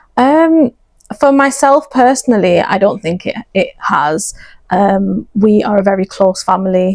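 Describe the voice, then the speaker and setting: A woman speaks with a Lancashire accent in a dry, close sound with no echo. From northern England, Bolton. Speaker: optometrist and charity project lead. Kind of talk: interview. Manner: hesitant, many fillers.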